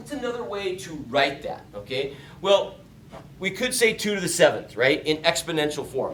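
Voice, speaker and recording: Over noticeable background noise and audible room echo, a man speaks at a moderate pace in a high pitch. His pitch swings very widely, and his loudness shifts a lot. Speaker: math teacher. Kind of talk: lecture. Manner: animated.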